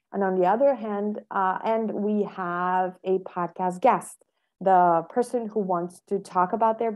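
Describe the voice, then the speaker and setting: The setting is quiet. Her pitch varies in an ordinary way as the woman talks. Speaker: podcast guest. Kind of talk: interview answer. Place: home room. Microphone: earbuds.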